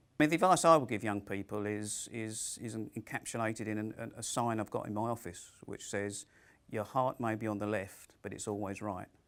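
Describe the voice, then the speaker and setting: A man with a fairly low voice talks at a fairly quick pace with ordinary pitch variation. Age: 60s. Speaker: careers personal advisor. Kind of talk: interview monologue. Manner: hesitant with fillers.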